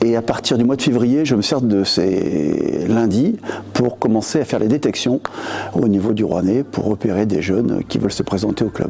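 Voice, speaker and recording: With noticeable background noise behind him, a man speaks at a moderate pace and medium pitch, with ordinary pitch variation and very even loudness. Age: 60s. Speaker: basketball youth coach. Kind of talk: interview. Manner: hesitant, many fillers.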